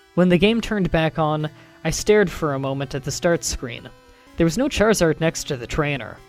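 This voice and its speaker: With music in the background, the speech proceeds at a moderate pace. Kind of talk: horror story reading.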